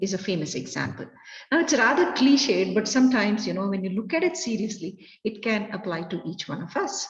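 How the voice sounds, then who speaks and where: Speaking with an Indian accent, a woman talks at a fairly quick pace. The recording has audible room echo and noticeable background noise. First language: Kannada. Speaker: educator, resource person. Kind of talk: lecture.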